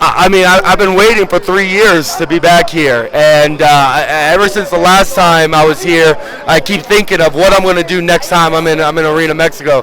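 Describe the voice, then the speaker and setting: A man's high voice at a fairly quick pace, with ordinary pitch variation and noticeable background noise. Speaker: pro wrestler. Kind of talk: interview. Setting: outdoors. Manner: halting, repeats words.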